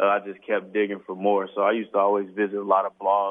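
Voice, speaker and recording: A man talks at a moderate pace with an American accent. His pitch sits fairly low. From Northwest Indiana (East Chicago). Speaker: clothing brand founder, influencer. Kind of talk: casual interview.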